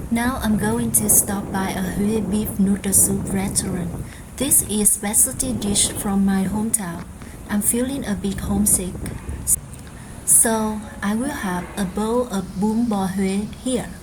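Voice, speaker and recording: With a Vietnamese accent, a woman speaks at medium pitch and a fairly slow pace, her intonation fairly even and loudness very even, over noticeable background noise and audible room echo. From Vietnam, Hue. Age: 20s. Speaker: vlogger. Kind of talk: casual vlog narration.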